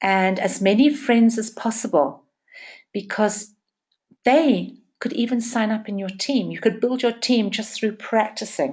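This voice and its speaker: A woman speaks fairly slowly in a fairly high, somewhat breathy voice with ordinary pitch variation. The background is quiet. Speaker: network marketing trainer. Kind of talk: training session.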